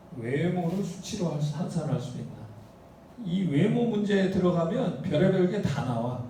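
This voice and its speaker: A man with a high pitch talks at a moderate pace with lively intonation. Audible room echo and noticeable background noise come through. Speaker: university professor. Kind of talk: lecture. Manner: casual, rhetorical questions.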